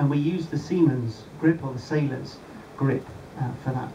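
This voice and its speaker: There is light background noise as a man speaks. He goes at a fairly slow pace with ordinary pitch variation. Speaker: presenter. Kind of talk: safety briefing talk. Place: boat. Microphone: camera far.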